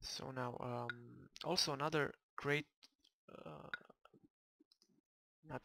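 A man speaks quietly at a medium pitch, his voice dry with no echo, while music plays in the background. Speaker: gamer. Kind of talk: video game commentary. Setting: home microphone recording. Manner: quiet, low volume.

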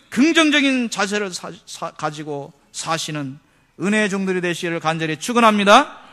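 Raising and projecting his high-pitched voice, a man speaks in a bright, sharp tone at a moderate pace. His pitch swings very widely against a quiet background. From South Korea, Seoul. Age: 40s. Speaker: pastor. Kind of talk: sermon. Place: church. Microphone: podium.

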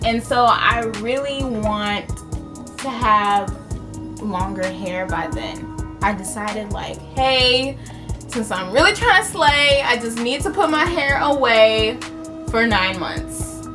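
A woman talks at a very slow pace. Behind her, clear music plays. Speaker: beauty vlogger. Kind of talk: casual vlog chat. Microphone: phone near.

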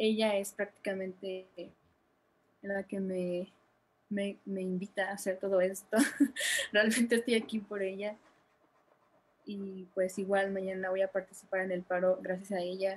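A woman talks at medium pitch and a fairly slow pace. Her pitch shows little movement.

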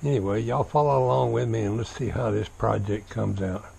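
With a Southern US accent, a man talks at a fairly low pitch with lively intonation against light background noise. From US South, Florida. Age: 70s. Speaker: vlogger. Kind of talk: casual vlog monologue. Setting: outdoors. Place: garden. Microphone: phone near.

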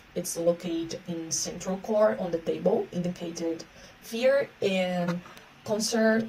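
Over light background noise, a woman speaks very slowly in a Portuguese accent. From Brazil. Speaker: researcher. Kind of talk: conference talk. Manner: halting. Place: home room. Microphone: phone near.

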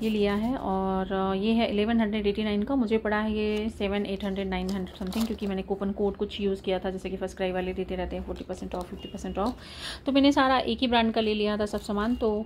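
Light background noise sits behind a woman speaking at a fairly quick pace with fairly even intonation. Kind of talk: casual shopping haul vlog. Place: home room. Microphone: phone near.

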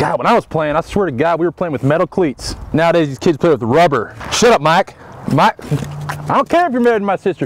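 A man's very fast, lively-intoned speech, dry with no echo, over light background noise. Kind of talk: comedic sketch yelling. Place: stadium. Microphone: lapel.

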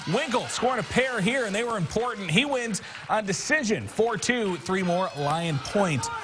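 A man speaks at a high pitch in an energetic tone with lively intonation. Noticeable background noise sits behind him. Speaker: TV sports anchor. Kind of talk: sports news reading of wrestling highlights. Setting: TV studio. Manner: brisk, clipped play-by-play delivery; energetic, rattling off scores and weights.

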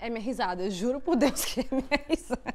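A woman projects a raised, high-pitched voice at a moderate pace, animated in tone and lively in intonation. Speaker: YouTuber and au pair. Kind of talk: casual chat.

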